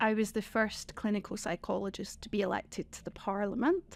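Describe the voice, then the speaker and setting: In a Scottish accent, the speaker keeps a moderate pace on a very clean recording with a silent background. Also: woman. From Scotland. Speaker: former member of parliament. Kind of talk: podcast interview.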